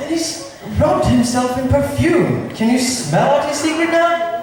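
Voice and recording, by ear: Put-on character voice from a man, extremely high-pitched, with lively intonation, a fairly slow pace and strong room echo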